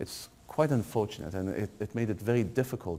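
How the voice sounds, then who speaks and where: A man speaks with a fairly low pitch and a dark, mellow tone, his pitch rising and falling in an ordinary way. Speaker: university lecturer. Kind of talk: guided tour. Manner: hesitant with fillers.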